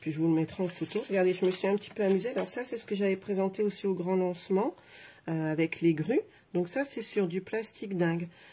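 A woman's dark, mellow voice with ordinary pitch variation at a fairly quick pace. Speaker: craft vlogger. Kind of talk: casual live tutorial. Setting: live video stream with microphone. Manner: chatty, friendly, hesitant with fillers. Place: home room.

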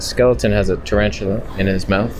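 A man speaks in a low pitch. Background noise is clearly heard.

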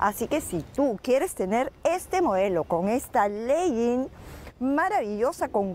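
There is light background noise as a woman speaks very slowly. Her voice is high-pitched and swings very widely in pitch. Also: dry sound with no echo. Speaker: fitness TV host. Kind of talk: TV presenter talk with sponsor plug. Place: garden. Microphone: lapel.

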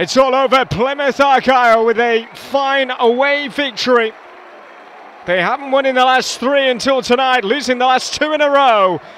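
A man speaks at an extremely high pitch with an animated tone, ordinary pitch variation and very even loudness. His moderate pace comes through noticeable background noise. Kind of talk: live match commentary. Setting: football stadium match broadcast. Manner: animated, excitable, rising pitch on goals.

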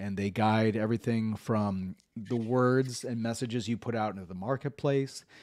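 There is a man talking at a moderate pace with hardly any pauses. His intonation is fairly even, and the background is quiet. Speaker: podcast host and executive coach; podcast host, executive coach. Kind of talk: casual interview. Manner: halting. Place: home room. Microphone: studio mic.

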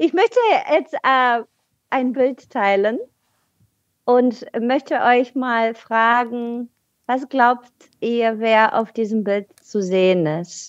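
With a high pitch and ordinary pitch variation, a woman speaks at a very slow pace with long, frequent pauses, in a dry, close sound with no echo. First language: Bulgarian (speaking German). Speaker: podcast guest on politics. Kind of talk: casual chat. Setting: video call.

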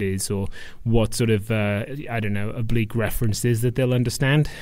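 A man talks with a Welsh accent. His pitch is medium and his intonation fairly even. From Wales. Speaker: stand-up comedian. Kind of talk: podcast interview answer.

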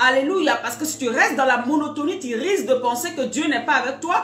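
Speaking at a high pitch, a woman is heard with light background noise and audible room echo. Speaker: preacher. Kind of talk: sermon. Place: home room. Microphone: phone near.

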